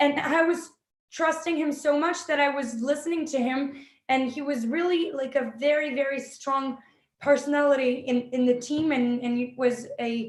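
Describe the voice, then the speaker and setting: Woman with a high pitch, fairly even intonation, and a moderate pace. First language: French. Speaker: film director and actress. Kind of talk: interview. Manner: halting.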